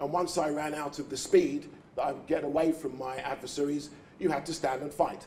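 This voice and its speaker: A man speaks at a fairly quick pace with a fairly high pitch. His intonation is monotone and flat, and background noise is noticeable. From England, East End of London. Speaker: youth charity founder, speaker. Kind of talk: keynote speech. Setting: breakfast event before an audience. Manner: formal.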